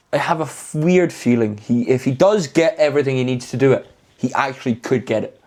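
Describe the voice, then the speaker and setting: Speaking in a Scottish accent, a man keeps a medium pitch and a fairly quick pace. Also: ordinary pitch variation. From Scotland. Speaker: podcast co-host. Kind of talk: casual chat. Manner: halting.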